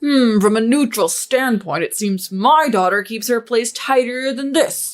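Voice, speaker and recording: Over music in the background, a woman puts on a character voice pitched fairly high. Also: moderate pace. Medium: read story. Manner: calm, blunt.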